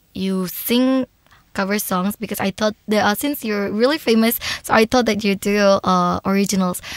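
Speaking at a moderate pace, a woman has a plain, everyday voice of medium pitch with ordinary pitch variation and a dry, close sound with no echo. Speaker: podcast host. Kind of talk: interview. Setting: in-person studio interview. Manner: warm and effusive.

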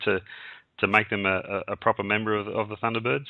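A man with an Australian accent talks at a fairly quick pace. The sound is dry with no echo against a quiet background. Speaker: radio host. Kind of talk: interview. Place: studio.

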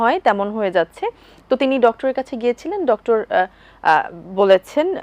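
A woman speaks in a high pitch with very wide pitch swings. The sound is dry and close with no echo. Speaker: TV presenter. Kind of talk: TV lifestyle talk show hosting. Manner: formal.

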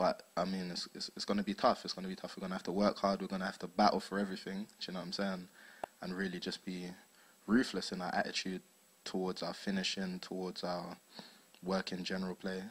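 In a South London accent, a man speaks at a very fast pace in a very deep, low pitch with monotone, flat intonation and long, frequent pauses. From South London, England. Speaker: footballer. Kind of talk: post-match interview. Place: hall. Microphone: handheld.

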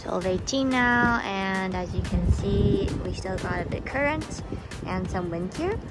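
Against loud background noise, a woman speaks in a dry sound with no echo. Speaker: boat owner vlogger. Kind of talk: casual vlog narration. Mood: cheerful, excited. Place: boat. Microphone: phone near.

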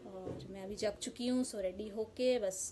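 Light background noise sits under a woman whose pitch varies in an ordinary way. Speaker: home vlogger. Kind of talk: casual vlog chat. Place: home room. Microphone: phone near.

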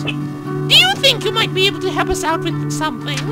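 A man does a put-on character voice over loud music in the background.

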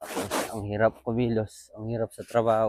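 A man's fairly low-pitched voice. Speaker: vlogger, overseas worker. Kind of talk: daily vlog narration. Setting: walking outdoors and on a bus.

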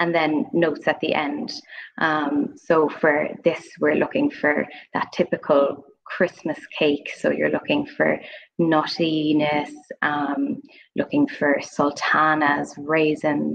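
The voice moves at a very slow pace over light background noise. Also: woman. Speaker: guest. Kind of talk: interview answer. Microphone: video call.

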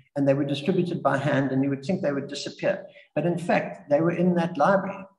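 Ordinary pitch variation comes through with audible room echo and a quiet background. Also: man. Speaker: guest. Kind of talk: talk or interview answer. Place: home room. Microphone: video call.

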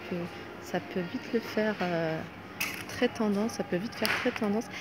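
Loud background noise surrounds a woman's voice, and the sound is dry with no echo. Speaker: shopping vlogger. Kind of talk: casual vlog chat. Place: shop. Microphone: phone near.

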